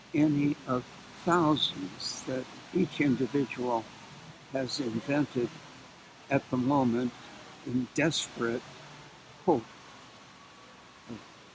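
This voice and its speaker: Speaking at a very slow pace with long, frequent pauses, a man uses a medium pitch and ordinary pitch variation over noticeable background noise. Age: 80s+. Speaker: psychologist. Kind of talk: interview answer. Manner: slow, halting.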